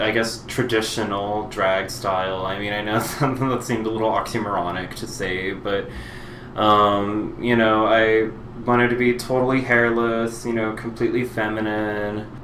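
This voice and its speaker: Fairly low-pitched man with monotone, flat intonation, noticeable background noise and audible room echo. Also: moderate pace. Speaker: drag queen vlogger. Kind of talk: personal monologue vlog. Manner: halting, many fillers.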